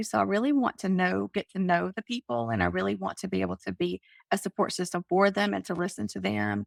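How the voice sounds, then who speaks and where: On a very clean recording with a silent background, a woman's voice sounds dry and close with no echo. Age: 50s. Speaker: life coach and author. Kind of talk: interview.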